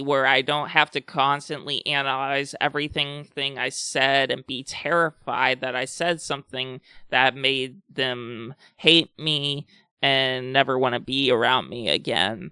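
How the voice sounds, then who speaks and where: A man's fairly high, bright and sharp voice at a fairly slow pace with fairly even intonation, dry and close with no echo, on a very clean recording with a silent background. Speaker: video blogger. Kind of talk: personal talk to camera about anxiety. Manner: candid, hesitant.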